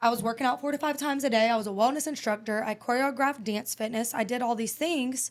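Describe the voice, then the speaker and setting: With an American accent, the speaker goes at a very fast pace with hardly any pauses and fairly even intonation. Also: woman, high pitch for a woman. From New York. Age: 30s. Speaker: entrepreneur, former prisoner. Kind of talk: podcast interview.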